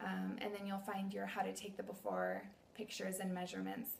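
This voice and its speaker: A woman talks at a fairly quick pace, with audible echo from the room. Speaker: fitness coach. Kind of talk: tutorial. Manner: animated.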